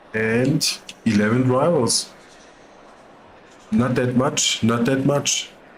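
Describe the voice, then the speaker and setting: The speech moves at a very slow pace with long, frequent pauses, while noticeable background noise runs underneath. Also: man, medium pitch for a man, ordinary pitch variation. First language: not English. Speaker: sim racing commentator. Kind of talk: live race commentary. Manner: casual.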